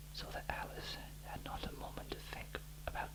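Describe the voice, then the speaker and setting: Noticeable background noise accompanies the man as he talks. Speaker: bedtime story reader. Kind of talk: audiobook-style reading of a children's classic.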